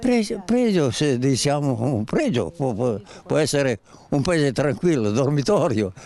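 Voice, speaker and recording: Very wide pitch swings at a fairly slow pace with very even loudness. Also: man, fairly high pitch for a man, dry sound with no echo. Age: 90s. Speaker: local resident. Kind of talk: street interview. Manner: halting. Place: street. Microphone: handheld.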